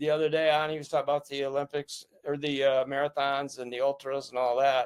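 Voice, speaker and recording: Very fast, monotone, flat delivery with an American accent. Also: man, fairly high pitch for a man. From upstate New York, rural. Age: 80s+. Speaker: war veteran. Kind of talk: interview conversation.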